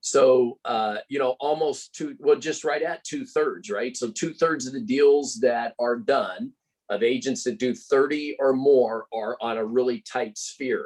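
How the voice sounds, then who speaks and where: With an unremarkable speaking voice, a man talks at a fairly slow pace in a fairly high pitch, using lively intonation and hardly any pauses. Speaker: real estate trainer. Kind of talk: presentation.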